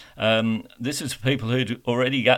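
Medium pitch from a man, with an Australian accent. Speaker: radio host. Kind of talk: radio interview. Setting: online interview.

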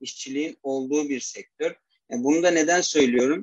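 A man talks in an unremarkable speaking voice at a fairly high pitch. The sound is dry and close, with no echo. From Turkey, Istanbul. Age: 20s. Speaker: mechanical engineer. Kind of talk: interview.

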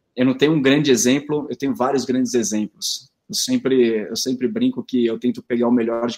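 With a plain, everyday voice, a man talks at a medium pitch and moderate speed, with ordinary pitch variation. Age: 30s. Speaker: company executive. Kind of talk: interview, live stream talk.

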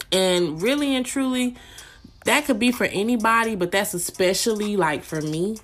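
An ordinary speaking voice, a woman at a fairly high pitch with lively intonation and a moderate pace. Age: 20s. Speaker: podcast host. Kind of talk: casual chat.

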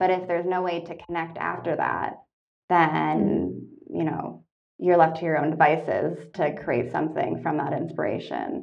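The speaker has a Canadian accent and talks at a moderate pace. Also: woman. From Canada, Toronto. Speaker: artist and art tech startup worker. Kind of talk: casual interview. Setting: podcast recording.

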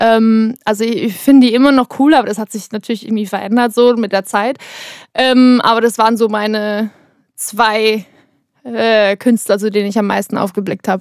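In an ordinary speaking voice, a woman with a fairly high pitch talks at a moderate pace, with a dry, close sound, no echo and a very clean recording with a silent background. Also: fairly even intonation. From Bavaria, Germany. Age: 20s. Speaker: singer and songwriter. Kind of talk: interview, casual chat. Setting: vocal booth in a recording studio.

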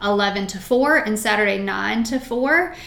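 A woman with a Virginia accent speaks in a fairly high voice, with noticeable background noise and audible room echo. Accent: Virginia, US South. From Shenandoah Valley, Virginia. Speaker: nonprofit founder and shop owner. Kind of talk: interview.

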